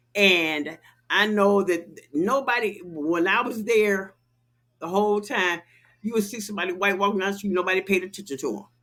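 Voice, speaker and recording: Bright, sharp and animated, a woman's voice sits at a medium pitch with ordinary pitch variation and a moderate pace. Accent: American. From Chicago. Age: 60s. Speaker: podcast host. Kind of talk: casual chat.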